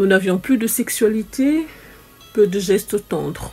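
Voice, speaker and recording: With music in the background, a woman speaks at a very slow pace. Her fairly high voice has lively intonation. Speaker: story time host. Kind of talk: first-person testimony narration.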